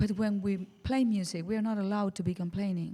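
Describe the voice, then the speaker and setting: Fairly quick speech from a woman with an Argentine accent, medium pitch and ordinary pitch variation. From Argentina, Buenos Aires. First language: Spanish. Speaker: jazz singer. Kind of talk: casual interview chat. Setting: radio studio, live session.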